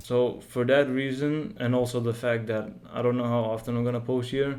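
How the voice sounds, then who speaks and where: Audible room echo surrounds a dark, mellow voice delivered at a moderate pace with monotone, flat intonation. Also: man. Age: just turned 18. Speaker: game developer and YouTuber. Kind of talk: casual channel update vlog. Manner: halting, with fillers.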